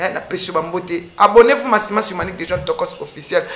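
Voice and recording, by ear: Speaking at a fast pace, a woman with a fairly low pitch and a fairly bright tone shows ordinary pitch variation.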